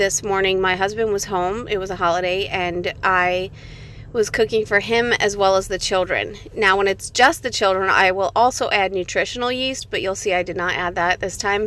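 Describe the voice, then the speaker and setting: With a bright, sharp tone, a woman talks at a moderate pace in a medium pitch, keeping her intonation fairly even. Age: 20s. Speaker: homemaker and mother. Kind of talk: cooking tutorial voice-over.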